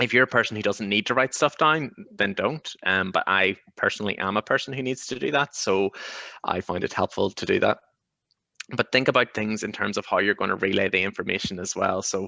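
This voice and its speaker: Over a quiet background, a man with a fairly low pitch and a bright, sharp tone speaks at a fairly quick pace. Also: ordinary pitch variation, dry, close sound with no echo. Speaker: GP and successful exam candidate. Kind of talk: webinar Q&A advice. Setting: video webinar. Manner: fast.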